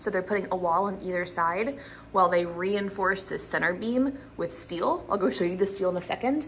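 A woman talks at a moderate pace, her voice somewhat breathy. Her pitch varies in an ordinary way over light background noise. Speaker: homeowner vlogger. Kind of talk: casual vlog chat. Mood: upbeat, mildly excited. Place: garage. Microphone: phone near.

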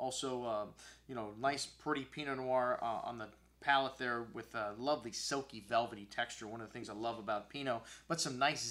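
A man talks at a fairly quick pace in a bright, sharp tone. His pitch varies in an ordinary way. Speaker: wine shop host. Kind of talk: wine tasting commentary. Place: studio.

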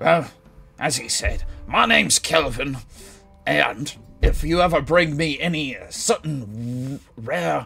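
A man puts on a character voice at a fairly high pitch. Faint music plays in the background. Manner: boastful, crude.

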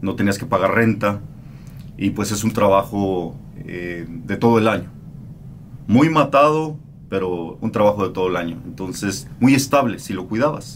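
A man speaks with a fairly low pitch and lively intonation at a fairly slow pace. Light background noise is present. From Mexico. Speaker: radio host. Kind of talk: interview answer. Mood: calm, reflective. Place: studio. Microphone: studio mic.

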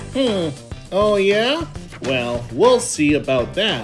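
A female-sounding cartoonish character voice at a middle pitch moves very slowly with very wide pitch swings. Clear music plays in the background. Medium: puppet. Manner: gentle, encouraging.

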